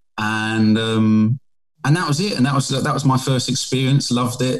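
A man with a British accent speaks at a moderate pace in a medium pitch, with ordinary pitch variation. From England. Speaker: painter. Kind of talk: casual interview.

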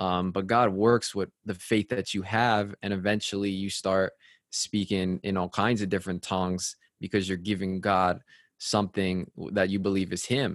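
Monotone and flat in intonation, a man with an American accent speaks at a moderate pace, the sound dry and close with no echo in a very clean recording with a silent background. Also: fairly low pitch for a man. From Connecticut, US. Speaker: radio host. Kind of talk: casual chat.

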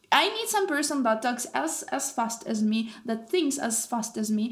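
With ordinary pitch variation and a moderate pace, this voice comes across as somewhat breathy. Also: woman. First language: Russian. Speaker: university student podcast host. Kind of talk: casual chat.

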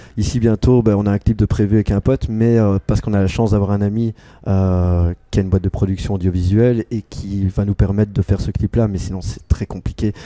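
Dry and close with no echo, a man's voice has a dark, mellow tone and a fairly low pitch. He speaks at a fairly quick pace with fairly even intonation. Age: 30s. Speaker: musician and association member. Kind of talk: interview at a festival. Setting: music festival.

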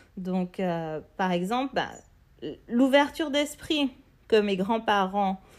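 On a very clean recording with a silent background, a woman at medium pitch talks fairly slowly with lively intonation. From Martinique. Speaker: podcast host, entrepreneur. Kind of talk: solo podcast monologue. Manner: hesitant, many fillers.

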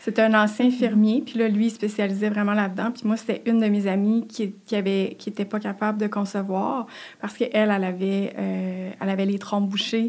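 The woman's voice sits at a medium pitch with a monotone, flat intonation. She moves at a fairly quick pace. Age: 30s. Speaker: podcast guest sharing infertility story. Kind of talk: personal testimony. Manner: halting, many repetitions and fillers.

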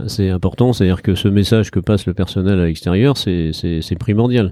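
On a very clean recording with a silent background, a man with a dark, mellow tone talks at a fairly quick pace with ordinary pitch variation. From Brittany, France. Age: 60s. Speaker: entrepreneur, car dealer and brewery owner. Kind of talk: interview. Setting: on location in a brewery.

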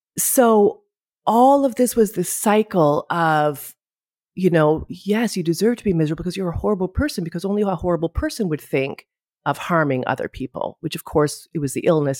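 With a Canadian accent, a woman speaks with very wide pitch swings in a dry, close sound with no echo. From Canada, Ottawa. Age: 50s. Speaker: podcast guest, mental health speaker. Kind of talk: interview conversation.

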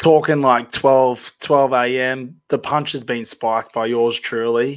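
A man's medium-pitched, monotone, flat delivery at a fairly slow pace, with an Australian accent. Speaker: podcast co-host. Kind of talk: casual chat.

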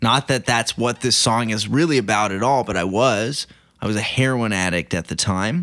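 A man with an American accent speaks in a plain, everyday voice at medium pitch, moderate pace and ordinary pitch variation. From Oklahoma (Banner, near El Reno). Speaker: singer-songwriter. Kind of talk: casual interview chat.

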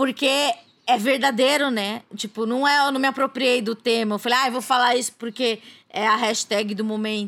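A woman speaks at a moderate pace in a high pitch, with hardly any pauses. Her intonation is fairly even. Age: 30s. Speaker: journalist and podcaster. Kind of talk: casual interview chat. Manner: hesitant, many fillers.

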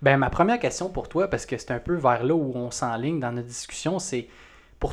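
This man has a fairly high pitch and lively intonation. He speaks with a Quebec accent. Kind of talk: interview.

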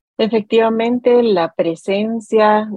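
A woman with a Costa Rican accent speaks at a fairly slow pace. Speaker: radio host. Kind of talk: educational radio interview.

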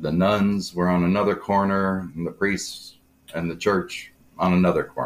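In a very clean recording with a silent background, a man with a very deep, low voice talks at a moderate pace in a monotone, flat intonation. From US Midwest, Aurora, Illinois. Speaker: guest sharing life story. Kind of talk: casual interview.

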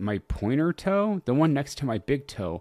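Over a very clean recording with a silent background, a man at medium pitch speaks with very wide pitch swings. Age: 30s. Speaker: podcast host and comedian. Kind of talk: casual solo chat. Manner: animated.

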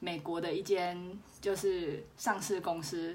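Her intonation is lively. The woman speaks with a Taiwanese accent. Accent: Taiwanese Mandarin. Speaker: podcast host. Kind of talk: casual solo podcast monologue. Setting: wearing a clip-on microphone. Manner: quiet, low volume.

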